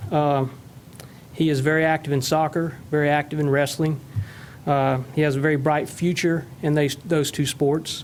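A man speaks at a moderate pace, his voice pitched fairly high. His intonation is monotone and flat, and his loudness stays very even. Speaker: member of the public speaking at a meeting. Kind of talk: public comment.

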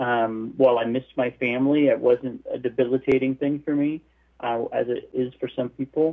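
A man talks at a medium pitch and a moderate pace. He has a normal speaking voice. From US, Southern California. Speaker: missionary and author. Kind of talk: interview.

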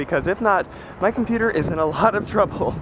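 A man talks at a very fast pace with lively intonation, in a dry sound with no echo but noticeable background noise. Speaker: vlogger, college student. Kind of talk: casual vlog. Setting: walking outdoors. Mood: relieved, chatty. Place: street. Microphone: phone near.

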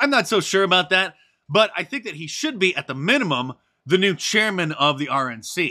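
Speaking in a raised, projected voice with a bright, sharp tone, a man with high pitch makes very wide pitch swings at a moderate pace against a quiet background. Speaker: political commentary youtuber. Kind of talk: video commentary. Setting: home studio. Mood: sarcastic, opinionated.

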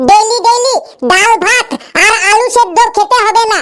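A woman puts on a cartoonish character voice pitched extremely high. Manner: glib, persuasive.

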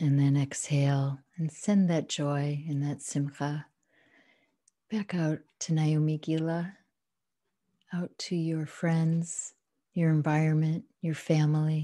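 With long, frequent pauses, a woman speaks in a very deep, low, monotone voice whose tone is dark, mellow, soothing and calm against a quiet background. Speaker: meditation guide. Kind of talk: guided meditation. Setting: home, at home with a dog in the room. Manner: slow, soothing, calm and unhurried; gentle, instructional. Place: home room. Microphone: video call.

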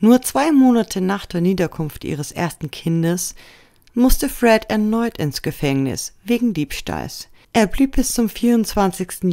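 A woman with a dark, mellow tone speaks at a very slow pace with lively intonation. The recording is very clean, with a silent background. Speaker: true crime video narrator. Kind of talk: scripted true-crime documentary narration, serious and factual. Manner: measured, even-paced and sombre; formal, informative, addressing viewers directly.

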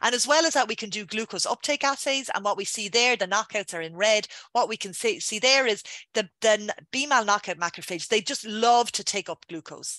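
In an Irish accent, a woman speaks at a fairly quick pace with lively intonation and a bright, sharp tone. Her pitch is fairly high, and the sound is dry with no echo over a quiet background. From Ireland, Dublin. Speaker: scientist. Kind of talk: lecture. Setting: video call. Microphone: webcam.

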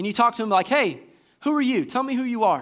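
An animated tone comes through in a Southern US accent against a quiet background. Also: man. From US South, Georgia (Warner Robins). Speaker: assistant pastor. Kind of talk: sermon. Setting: church. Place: church.

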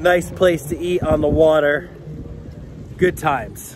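A man talks at a fairly slow pace with fairly even intonation, recorded dry with no echo but with noticeable background noise. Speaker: travel vlogger. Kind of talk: casual vlog chat. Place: waterside. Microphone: phone near.

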